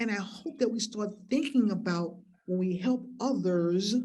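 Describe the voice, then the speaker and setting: Speaking at a very slow pace, a woman with a medium pitch, a somewhat breathy, dark, mellow tone and ordinary pitch variation. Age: 60s. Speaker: keynote speaker, farmer activist. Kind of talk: keynote speech. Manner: impassioned, emphatic.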